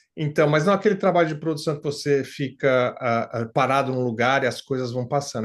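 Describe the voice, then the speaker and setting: A man's voice at a fairly high pitch. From Brazil, São Paulo. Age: 60s. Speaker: retired factory worker, client testimonial. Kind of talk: interview testimony. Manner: halting, many fillers.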